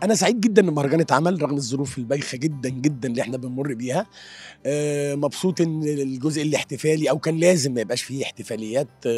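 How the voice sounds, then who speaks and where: Faint music plays behind a man who talks at a fairly quick pace, the sound dry with no echo. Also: fairly high pitch for a man, ordinary pitch variation. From Egypt. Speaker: screenwriter. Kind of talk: interview answer. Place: hall. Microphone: handheld.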